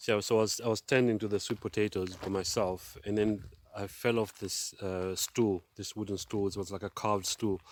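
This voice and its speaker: Fairly low in pitch, a man delivers his words in a flat monotone at a moderate pace. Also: hardly any pauses. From Zambia. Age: 50s. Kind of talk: testimony. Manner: halting, many fillers and repeats.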